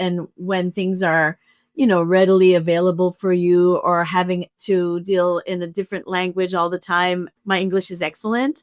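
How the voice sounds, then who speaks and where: Recorded with a dry, close sound, no echo and a silent background in a very clean recording, a woman talks at medium pitch. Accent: French Canadian. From Canada, French-speaking. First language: French. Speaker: opera music director and pianist. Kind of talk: podcast conversation.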